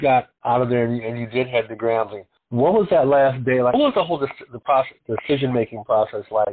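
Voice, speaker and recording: A man with a normal speaking voice talks fairly quickly at a medium pitch, his pitch moving in an ordinary way. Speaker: podcast host. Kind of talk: interview.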